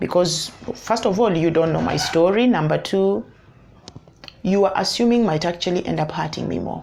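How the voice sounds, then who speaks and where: Moderately paced speech from a woman, noticeable background noise around it. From Kenya. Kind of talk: advice vlog. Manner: halting, with repeated words.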